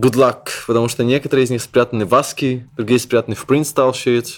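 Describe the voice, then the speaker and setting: A man speaks in a plain, everyday voice at medium pitch. His pace is fairly quick and his intonation fairly even. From Belarus, Minsk. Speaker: web publisher and editor. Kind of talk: interview.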